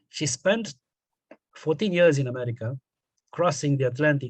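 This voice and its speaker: Somewhat breathy and fairly high in pitch, a man speaks with a Romanian accent and ordinary pitch variation. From Romania, Transylvania (northwest). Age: 60s. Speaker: poet and radio journalist. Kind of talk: interview. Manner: halting.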